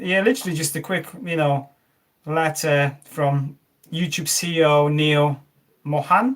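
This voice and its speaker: Speaking with a Polish accent, this voice keeps a fairly even intonation. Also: man. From Poland. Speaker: tech YouTuber. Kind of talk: live stream unboxing chat. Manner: halting, many fillers.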